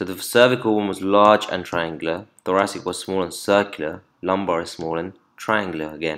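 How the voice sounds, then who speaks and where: On a very clean recording with a silent background, a man with a very deep, low pitch speaks at a fairly quick pace with fairly even intonation. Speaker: anatomy tutor. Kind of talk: lecture. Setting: screen-recorded video lesson. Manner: fast talker.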